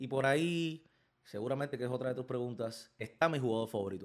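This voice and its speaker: This man has a normal speaking voice. He talks at a fairly quick pace with ordinary pitch variation. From Cuba, Villa Clara. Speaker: baseball podcast host. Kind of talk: casual chat.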